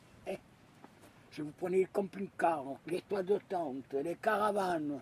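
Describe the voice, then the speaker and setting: Very slow speech from a man. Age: 70s. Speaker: retired camper. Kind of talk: casual interview. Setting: outdoors at a beach campsite.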